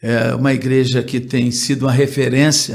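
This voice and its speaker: Audible room echo surrounds a man whose medium-pitched voice is somewhat breathy. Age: 70s. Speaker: pastor. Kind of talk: interview. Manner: halting.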